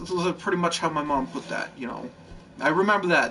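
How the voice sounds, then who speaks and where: The man has a high pitch with ordinary pitch variation. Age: 20s. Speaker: gaming YouTuber. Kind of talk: casual monologue. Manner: rambling, halting.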